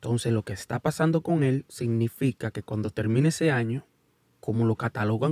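With a dark, mellow tone, a man talks at a moderate pace, the sound dry with no echo and the background quiet. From United States, Dominican parents. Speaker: YouTube sports commentator. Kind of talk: casual video commentary. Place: studio. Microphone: studio mic.

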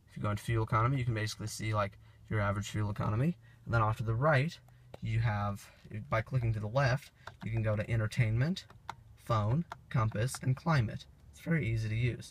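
A man speaks at a very fast pace with ordinary pitch variation, a somewhat breathy voice and big swings in loudness, in a dry recording with no echo and light background noise. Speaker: amateur car reviewer. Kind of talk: walkaround review narration. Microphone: phone near.

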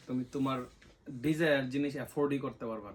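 This is a man speaking. He has an ordinary speaking voice. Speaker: vlogger. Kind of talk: casual chat.

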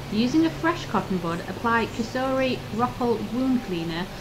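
A woman of fairly high pitch with lively intonation at a moderate pace, set against noticeable background noise. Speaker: voiceover narrator, host's wife. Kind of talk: scripted narration, instructions.

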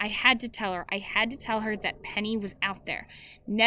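A natural voice reads text aloud. Its intonation is fairly even.

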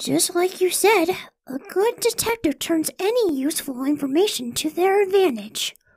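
The voice sits at an extremely high pitch. It is a put-on character voice moving at a moderate pace. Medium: dub.

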